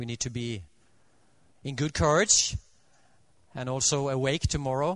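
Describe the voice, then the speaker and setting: Against a quiet background, someone with a Norwegian accent talks at a moderate pace with ordinary pitch variation and long, frequent pauses. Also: man, medium pitch for a man. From Norway. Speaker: Adventist preacher. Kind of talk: sermon. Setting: church. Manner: halting, with many fillers.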